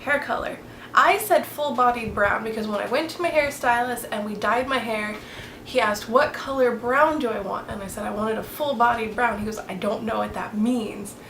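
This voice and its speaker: A woman with an American accent speaks at a moderate pace, her pitch fairly high and its variation ordinary. The recording has audible room echo and noticeable background noise. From Florida. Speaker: beauty vlogger. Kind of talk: casual chat.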